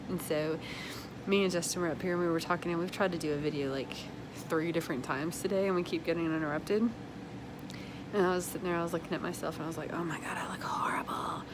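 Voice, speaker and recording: Over noticeable background noise and audible room echo, a woman with a fairly low pitch talks very fast, broken by long, frequent pauses. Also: fairly even intonation. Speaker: small business owner and vlogger. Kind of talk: casual vlog monologue.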